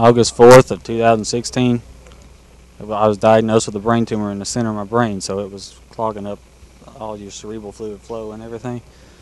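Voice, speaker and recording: Over noticeable background noise, a man with a Kentucky accent talks fairly quickly at a medium pitch, his intonation monotone and flat while his loudness swings a lot. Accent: Southern US (Kentucky). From Kentucky, Glasgow. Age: young. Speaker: kart racer. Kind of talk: live interview.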